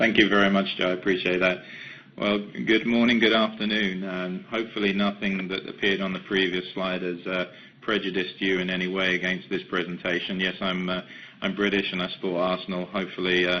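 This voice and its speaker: In an English accent, a man talks at a fairly quick pace with a very deep, low pitch and monotone, flat intonation. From England, London. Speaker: company executive. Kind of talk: webcast presentation. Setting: webcast. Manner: hesitant, many fillers.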